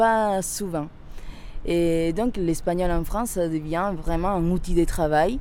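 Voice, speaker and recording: A woman talks at a fairly slow pace with a Spanish accent. Her voice is fairly low in pitch, with a dark, mellow tone. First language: Spanish (speaking French). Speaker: interviewee. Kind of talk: testimony.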